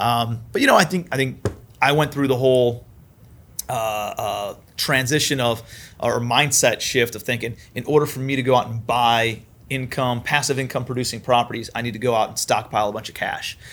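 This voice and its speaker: With an American accent, a man talks in an unremarkable speaking voice at medium pitch, using fairly even intonation at a moderate pace. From Ohio, Cleveland. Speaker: commercial real estate investor. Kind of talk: interview.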